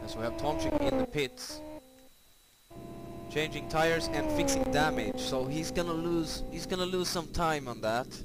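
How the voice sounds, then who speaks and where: Over music in the background and with audible room echo, a man with a non-native accent talks at a moderate pace. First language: not English. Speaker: sim racing commentator. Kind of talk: live commentary. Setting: live stream with chat. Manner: animated.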